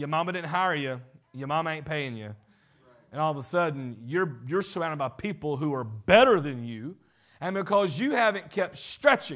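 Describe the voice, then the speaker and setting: A man with a Southern US accent talks at a moderate pace, his pitch swinging very widely. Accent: Southern American. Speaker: pastor. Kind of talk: sermon / leadership teaching.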